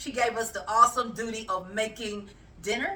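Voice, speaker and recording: A woman's fairly high voice at a moderate pace, animated in tone, with ordinary pitch variation. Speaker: cooking channel host. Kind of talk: casual cooking vlog chat. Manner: loud.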